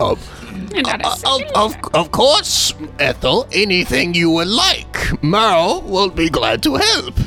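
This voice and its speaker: Against clear music in the background, a man uses a put-on character voice at a very slow pace. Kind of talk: formal, servile. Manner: obliging, polite.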